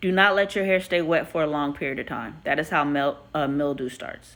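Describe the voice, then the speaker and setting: A loud woman's voice with a bright, sharp tone at a moderate pace. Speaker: hairstylist. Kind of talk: live stream Q&A. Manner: casual, chatty.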